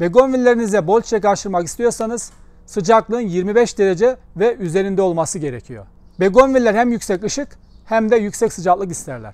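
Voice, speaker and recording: The sound is dry, with no echo. A man talks at a high pitch and a moderate pace with ordinary pitch variation. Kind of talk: tutorial. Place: garden.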